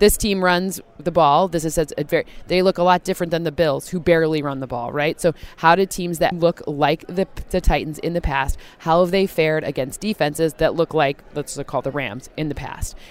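In an American accent, a woman speaks at a fairly low pitch, with a dry, close sound and no echo. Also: fairly even intonation, moderate pace. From US Midwest, Michigan. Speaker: football analytics analyst. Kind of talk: interview.

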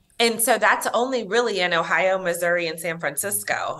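Over noticeable background noise, a woman speaks at a fairly low pitch with lively intonation. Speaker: nonprofit president and social worker. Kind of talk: interview.

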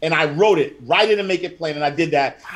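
A man with a New York accent. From Harlem, New York City. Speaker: financial educator and author. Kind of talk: interview.

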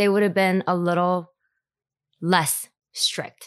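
Against a quiet background, a woman speaks with an American accent. Her pace is fairly slow. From US Northeast. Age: 30s. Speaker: podcast guest, high school alumna. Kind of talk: casual chat, interview. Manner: halting, filler words.

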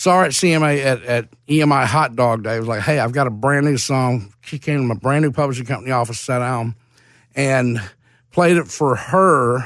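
A man with a Mississippi accent, medium pitch, ordinary pitch variation and a moderate pace, on a very clean recording with a silent background. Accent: Southern US (Mississippi). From Mississippi (Hattiesburg). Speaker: songwriter. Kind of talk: interview. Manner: animated.

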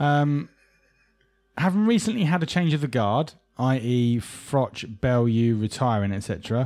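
Speaking fairly slowly in an English accent, a man uses lively intonation, with a medium pitch and a dark, mellow tone. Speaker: boxing podcast host. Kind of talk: casual chat.

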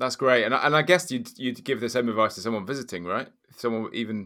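Bright and sharp in tone, a man talks at a very fast pace with a southern English accent. His pitch variation is ordinary. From southern England, Oxford. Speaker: podcast co-host. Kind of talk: casual chat. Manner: halting.

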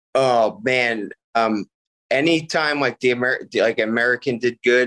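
In a Philadelphia accent, a man talks fairly slowly at a medium pitch with ordinary pitch variation, in a dry, close sound with no echo. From Bristol, Pennsylvania, near Philadelphia. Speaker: martial artist. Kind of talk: casual chat.

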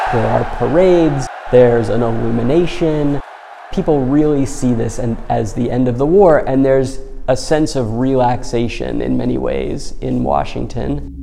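A man with an American accent talks at a moderate pace, with audible room echo and noticeable background noise. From Massachusetts, north of Boston. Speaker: museum curator and historian. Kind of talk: interview.

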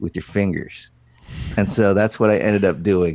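A man's fairly low voice, a normal speaking voice, at a moderate pace. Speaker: wedding photographer. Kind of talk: casual chat. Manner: many fillers and restarts.

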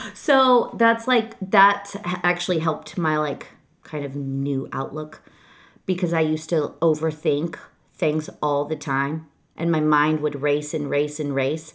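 With a Michigan accent, a woman talks at a fairly slow pace in a very deep, low pitch. Her pitch variation is ordinary. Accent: Michigan US Midwest. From Detroit, Michigan. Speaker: graphic designer. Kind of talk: casual chat. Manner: loud; blunt.

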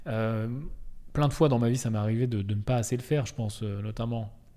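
A man's fairly low, dark and mellow voice carries fairly even intonation amid audible room echo. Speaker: podcast host. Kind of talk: solo podcast monologue. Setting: office. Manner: casual, hesitant with fillers.

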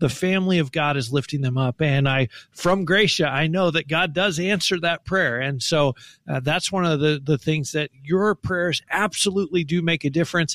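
A man with a normal speaking voice and fairly high pitch talks at a moderate pace with ordinary pitch variation and very even loudness, in a dry, close sound with no echo. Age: 50s. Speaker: ministry spokesperson. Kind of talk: radio interview.

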